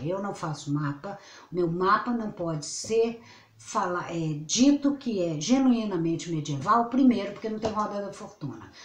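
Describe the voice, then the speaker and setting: At a fairly slow pace, a woman speaks with lively intonation amid audible room echo and noticeable background noise. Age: 60s. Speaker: astrologer. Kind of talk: casual vlog monologue. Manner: rambling, self-interrupting.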